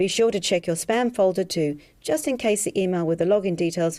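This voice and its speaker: A woman with an Australian accent speaks with hardly any pauses, in a fairly low pitch with ordinary pitch variation and a dark, mellow tone, on a very clean recording with a silent background. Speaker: hypnotherapist selling an alcohol reduction program. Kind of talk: sales pitch.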